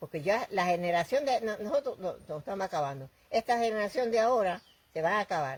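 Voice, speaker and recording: Speaking very fast in a Puerto Rican accent, a woman at medium pitch makes very wide pitch swings. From Puerto Rico. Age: 80s+. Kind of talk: interview answer.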